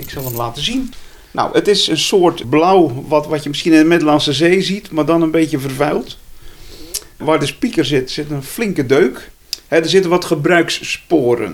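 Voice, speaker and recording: Ordinary pitch variation at a moderate pace, with noticeable background noise underneath. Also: man, fairly high pitch for a man. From Zeeland, Zeelandic Flanders (IJzendijke). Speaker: retired journalist and photographer. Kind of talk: interview.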